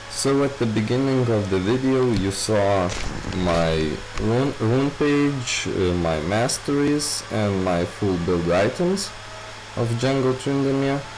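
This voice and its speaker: The speaker has a non-native accent and talks at a very slow pace with lively intonation and very even loudness. Audible room echo and noticeable background noise are present. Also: man, medium pitch for a man. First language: not English. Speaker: gaming youtuber. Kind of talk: tutorial. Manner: halting, many filler words.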